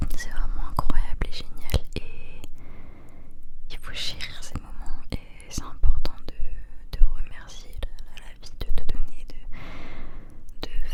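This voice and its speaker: A woman whispers at a very slow pace in a soothing tone, with big swings in loudness. Noticeable background noise is present. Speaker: ASMR creator. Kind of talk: ASMR roleplay comfort talk to help sleep. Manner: whispered, soothing.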